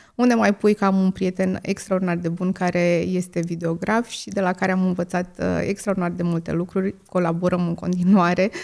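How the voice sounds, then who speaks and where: A woman's medium-pitched voice at a moderate pace, monotone and flat in intonation, with hardly any pauses. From Romania, Moldavia region (Vrancea county). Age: 30s. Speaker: content creator, podcast host. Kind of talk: podcast Q&A monologue. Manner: many filler hesitations.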